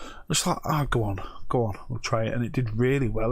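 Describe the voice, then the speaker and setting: A man speaks very fast at a medium pitch. His voice is somewhat breathy, with fairly even intonation. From northern England, Bradford and Pontefract, Yorkshire. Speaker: eBay reseller and live streamer. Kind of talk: casual live stream chat. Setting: live stream. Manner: halting, many restarts.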